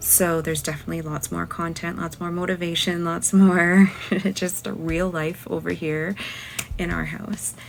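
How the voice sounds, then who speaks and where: A woman speaks quietly with music in the background. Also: moderate pace. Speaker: lifestyle vlogger. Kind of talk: casual vlog talk. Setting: at home.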